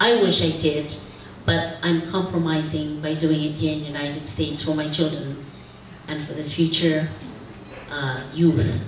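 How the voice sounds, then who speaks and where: In a room with audible echo and noticeable background noise, a woman talks at a fairly slow pace with a fairly low pitch. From Philippines. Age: 60s. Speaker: community leader. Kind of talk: symposium talk.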